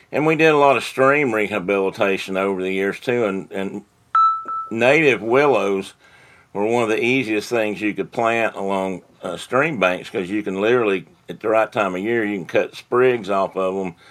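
The pace is moderate, with ordinary pitch variation. Noticeable background noise is present. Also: man, fairly low pitch for a man. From East Tennessee. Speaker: TVA retiree and wildlife biologist. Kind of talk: casual interview chat.

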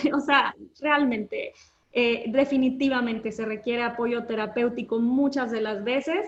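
At a fairly slow pace, a woman speaks in a high pitch with fairly even intonation. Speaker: menstrual health educator. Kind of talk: casual interview. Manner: calm, relaxing.

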